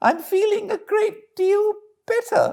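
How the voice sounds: A man's put-on character voice in a British accent, extremely high pitched, with a dark, mellow tone, vocal fry, ordinary pitch variation and a slow pace. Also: very clean recording, silent background.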